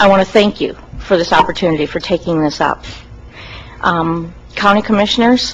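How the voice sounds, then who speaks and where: Speaking with an American accent, a woman talks at a medium pitch and a moderate pace. She takes long, frequent pauses amid noticeable background noise. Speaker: citizen giving public comment. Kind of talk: public comment at county meeting. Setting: county commission meeting, at a mic. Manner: unscripted, informal.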